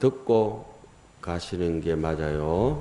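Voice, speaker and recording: In a strong Gyeongsang accent, a man talks with normal pitch movement while room echo is audible. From South Korea, Gyeongsang region. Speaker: Buddhist monk giving a dharma talk. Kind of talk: sermon. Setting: temple hall with audience. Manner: casual, conversational with dialect.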